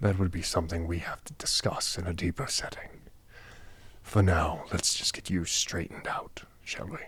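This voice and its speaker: In a put-on character voice, a man whispers and hisses at a moderate pace, with big swings in loudness. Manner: hissing, whispering.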